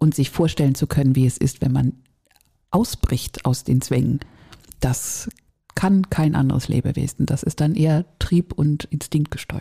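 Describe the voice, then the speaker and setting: A woman's voice, very deep and low in pitch, keeps a moderate pace and varies its pitch in an ordinary way. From northern Germany. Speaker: podcast co-host. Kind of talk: casual chat.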